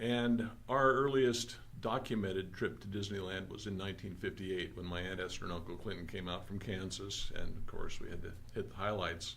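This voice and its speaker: The speaker has a Californian accent and a fairly quick pace with ordinary pitch variation. Room echo is audible. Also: man. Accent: General American (Californian). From Southern California, San Fernando Valley. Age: 70s. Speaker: magazine co-creator and collector. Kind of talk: casual interview.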